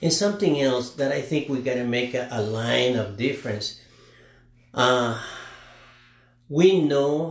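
Using ordinary pitch variation, a man with a non-native accent speaks at a medium pitch. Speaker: father of host. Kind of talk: casual chat. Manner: halting.

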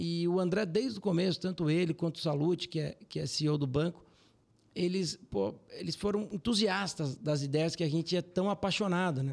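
A man speaks in a high voice with ordinary pitch variation. His pace is moderate. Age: 30s. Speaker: financial firm CEO. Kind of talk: casual interview.

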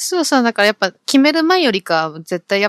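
Recorded very cleanly against a silent background, with a dry, close sound and no echo, a woman talks at a fairly quick pace with very wide pitch swings. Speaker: podcast co-host. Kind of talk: casual chat. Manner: speeds up when excited.

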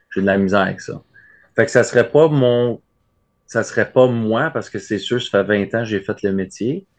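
Against a quiet background, a man with a Quebec accent speaks at a moderate pace and medium pitch. His pitch varies in an ordinary way, and he takes long, frequent pauses. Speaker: letter carrier. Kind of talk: casual interview.

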